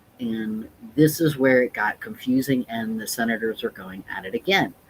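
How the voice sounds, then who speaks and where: An American accent at a moderate pace, with ordinary pitch variation and big swings in loudness. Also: man, medium pitch for a man. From Texas. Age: 30s. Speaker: drag performer and activist. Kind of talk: livestream commentary. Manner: emotional, animated.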